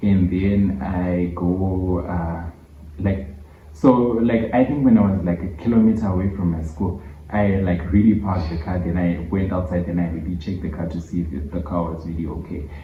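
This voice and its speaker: In a Zimbabwean accent, a man with a very deep, low pitch speaks at a moderate pace with ordinary pitch variation, amid audible room echo and noticeable background noise. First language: Shona. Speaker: YouTuber. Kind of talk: storytime vlog.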